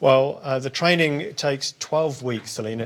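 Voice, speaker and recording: Speaking with a British accent, the man has a medium pitch. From United Kingdom. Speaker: senior corrections official hosting Q&A. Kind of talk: live question-and-answer session. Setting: live broadcast with guests.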